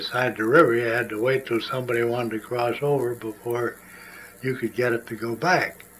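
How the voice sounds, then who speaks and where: Against noticeable background noise, a man at a medium pitch speaks fairly quickly in a flat monotone. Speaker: oral history interviewee. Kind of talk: oral history storytelling. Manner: halting with repetitions.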